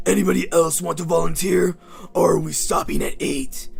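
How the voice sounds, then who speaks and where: A raspy put-on character voice from a man, at a moderate pace. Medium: read story. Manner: cold, condescending.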